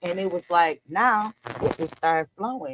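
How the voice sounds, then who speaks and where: Her voice is fairly low in pitch for a woman, and she speaks at a fairly slow pace. The sound is dry and close, with no echo. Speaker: entrepreneur, coaching client. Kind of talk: interview answer. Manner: casual, conversational.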